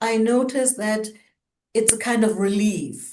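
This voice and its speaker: A woman with a German accent and ordinary pitch variation. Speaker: co-host of culture talk show. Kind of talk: casual conversation.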